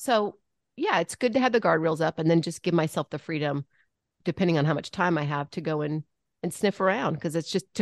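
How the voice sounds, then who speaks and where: In an ordinary speaking voice, a woman talks at a fairly low pitch with ordinary pitch variation, the sound dry and close with no echo against a quiet background. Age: 50s. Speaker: comedic actress, podcast co-host. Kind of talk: casual interview chat.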